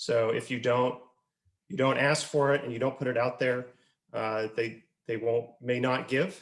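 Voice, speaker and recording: A man speaks at a fairly slow pace in a plain, everyday voice. His pitch is medium and his intonation fairly even. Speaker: nonprofit executive director and fundraising speaker. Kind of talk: webinar presentation answering a question about fundraising events. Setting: video conference call. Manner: conversational, explanatory.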